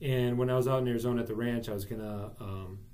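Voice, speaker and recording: There is audible room echo as a man with an American accent talks at a fairly quick pace, his tone dark and mellow and his intonation fairly even. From Wisconsin, US Midwest. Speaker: real estate broker. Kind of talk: casual interview.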